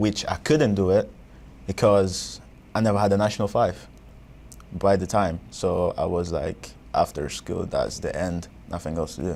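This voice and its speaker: A man's fairly low voice with a Portuguese accent, broken by long, frequent pauses. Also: ordinary pitch variation, moderate pace. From Angola. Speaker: college student. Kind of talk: interview.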